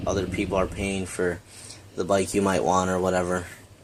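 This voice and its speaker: A man's fairly low voice, with noticeable background noise and audible room echo. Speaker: motocross vlogger. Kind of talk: casual vlog talk. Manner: hesitant, many fillers.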